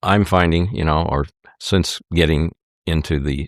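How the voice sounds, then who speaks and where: A man with an Upper Midwest accent and a very deep, low pitch speaks at a moderate pace with monotone, flat intonation, on a very clean recording with a silent background and a dry, close sound with no echo. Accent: Upper Midwest American. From Wisconsin (Hartford). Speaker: former state legislator. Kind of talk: interview.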